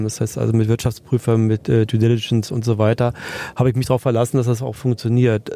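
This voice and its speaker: A man speaks at a fairly quick pace and medium pitch. His intonation is monotone and flat. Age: 60s. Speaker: entrepreneur, education institute founder. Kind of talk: interview. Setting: podcast bus at a trade fair.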